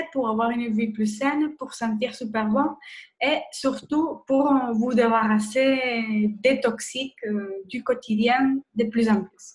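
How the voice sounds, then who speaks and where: At a very slow pace, a woman with a fairly high pitch speaks with fairly even intonation. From Spain. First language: Spanish (speaking French). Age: 30s. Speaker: nurse and wellness blogger. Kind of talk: webinar presentation. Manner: hesitant, many fillers.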